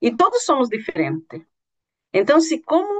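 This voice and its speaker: Lively intonation from a woman speaking at a fairly slow rate. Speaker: university lecturer. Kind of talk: lecture. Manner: halting.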